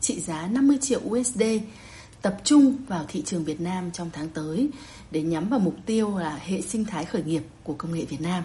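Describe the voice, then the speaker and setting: A woman has an ordinary speaking voice at a medium pitch. She talks at a fairly slow pace. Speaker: journalist. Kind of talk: news report. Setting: remote connection.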